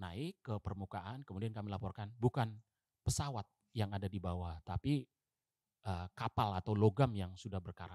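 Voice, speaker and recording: At a moderate pace, a man with a fairly low pitch and a dark, mellow tone shows ordinary pitch variation, the sound dry with no echo and the background quiet. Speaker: navy diver; guest. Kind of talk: interview storytelling. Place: studio. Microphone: studio mic.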